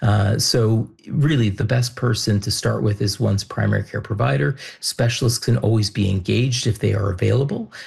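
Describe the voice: This man's slightly mellow voice shows vocal fry and ordinary pitch variation. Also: fairly low pitch for a man, moderate pace, few pauses.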